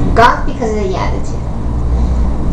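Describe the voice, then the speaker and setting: There is noticeable background noise behind this woman's voice. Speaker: YouTube vlogger. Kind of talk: casual vlog storytelling. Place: home room. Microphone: webcam.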